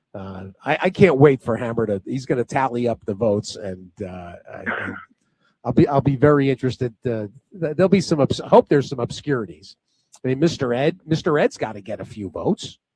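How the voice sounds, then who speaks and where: A man talks at a fairly quick pace and a medium pitch, with lively intonation and big swings in loudness. The sound is dry and close with no echo. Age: 60s. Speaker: horse racing radio host. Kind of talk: casual chat. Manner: halting, many repetitions.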